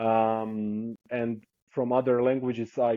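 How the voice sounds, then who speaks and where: A man with a Croatian accent speaks at a medium pitch. His intonation is flat and monotone. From southern coastal Croatia. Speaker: traveler, hitchhiker. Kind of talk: podcast interview. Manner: hesitant, with fillers.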